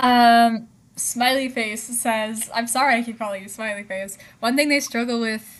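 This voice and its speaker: Against a quiet background, a woman speaks at a fairly slow pace in a fairly high pitch with fairly even intonation. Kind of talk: casual livestream chat reading comments. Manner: speech sometimes garbled, words out of order.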